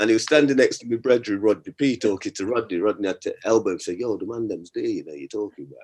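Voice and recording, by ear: Talking at a fast pace, a man uses a fairly low-pitched voice with a slightly husky edge, a slightly mellow tone and ordinary pitch variation.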